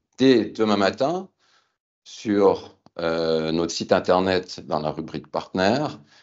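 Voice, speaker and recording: Pitch swinging very widely, a man speaks at a very slow pace. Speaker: company founder and CEO. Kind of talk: business keynote presentation. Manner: formal; hesitant fillers.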